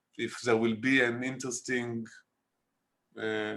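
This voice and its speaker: A man with an Israeli accent, medium-pitched and bright and sharp in tone, at a fairly slow pace. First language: Hebrew. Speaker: documentary filmmaker. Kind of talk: interview. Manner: halting.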